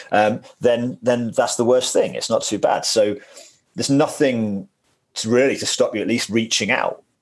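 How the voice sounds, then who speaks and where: A man with an unremarkable speaking voice holds a medium pitch and fairly even intonation at a moderate pace. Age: 40s. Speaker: Muay Thai coach and author. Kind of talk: casual chat.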